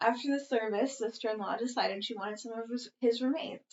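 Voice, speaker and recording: A soft-spoken woman talks in a fairly high voice with fairly even intonation. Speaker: podcast co-host reading posts. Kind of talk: reading aloud. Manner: fast, sometimes mumbling.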